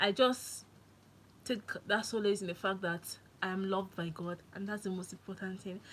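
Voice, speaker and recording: A bright, sharp tone with fairly even intonation. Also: woman. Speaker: livestreamer. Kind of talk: casual live stream chat. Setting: live stream.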